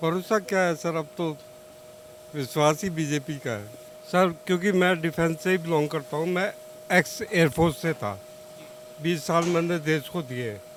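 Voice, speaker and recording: Over noticeable background noise, a man with a fairly high voice speaks with long, frequent pauses. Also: ordinary pitch variation. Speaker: ex-air force serviceman, voter in street interview. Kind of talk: street vox pop interview. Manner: halting.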